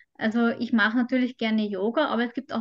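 A woman with an Austrian accent, fairly high in pitch, at a fairly quick pace. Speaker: mental trainer and migraine patient. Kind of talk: interview.

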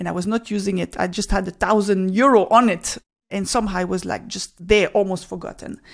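Talking at a fairly quick pace with vocal fry and fairly even intonation, a woman is heard on a very clean recording with a silent background. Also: medium pitch for a woman. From Switzerland. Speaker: podcast host and finance educator. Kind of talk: solo podcast talk. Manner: conversational.

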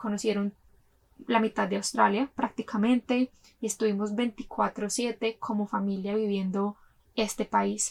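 A woman with a fairly high, somewhat breathy voice speaks fairly slowly in a monotone, flat intonation, the sound dry and close with no echo. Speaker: podcast host. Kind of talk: personal storytelling monologue.

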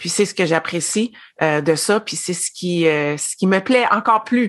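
At a moderate pace, a normal speaking voice comes through over a quiet background. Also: woman. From Quebec. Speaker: former education consultant, network marketer. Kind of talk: casual interview.

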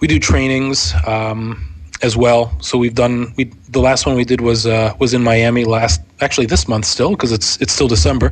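A man with an American accent has an ordinary speaking voice at a medium pitch. He talks at a moderate pace with lively intonation. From Pittsburgh, Pennsylvania. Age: 30s. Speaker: podcaster and tech channel manager. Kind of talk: casual interview.

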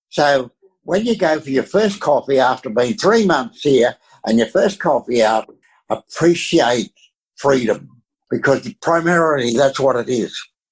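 A man with an Australian accent speaks at a fairly slow pace and a fairly high pitch. The very clean recording has a silent background and a dry, close sound with no echo. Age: 80s+. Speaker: retired pastor. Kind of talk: interview.

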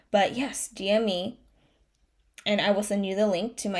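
At a fairly slow pace and medium pitch, a woman speaks on a very clean recording with a silent background. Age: 30s. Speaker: life coach podcaster. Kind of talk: pep talk; solo motivational monologue. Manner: passionate, emotional, earnest; animated, pep-talk urgency, repeating for emphasis.

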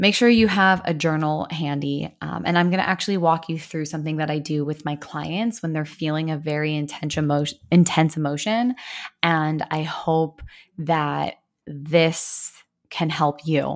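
Recorded very cleanly against a silent background, a woman speaks in a very deep, low pitch with ordinary pitch variation. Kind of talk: guided meditation. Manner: slow, soothing, gentle, with calm pauses and deep breaths.

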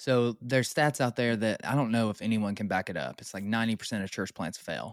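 With an ordinary speaking voice, a man talks at a fairly quick pace and medium pitch, with ordinary pitch variation, in a very clean recording with a silent background. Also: dry, close sound with no echo. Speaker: podcast host, church planter. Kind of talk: casual interview. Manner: jokey, laughs often.

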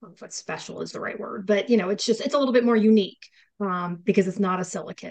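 A woman with an American accent talks very fast at a medium pitch, with ordinary pitch variation and vocal fry. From upstate New York. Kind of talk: casual chat podcast.

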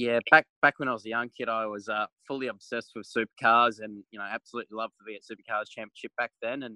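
A man speaks at a very fast pace with medium pitch and a bright, sharp tone. His intonation is monotone and flat, in a dry, close sound with no echo. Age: 20s. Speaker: racing driver. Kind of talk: interview.

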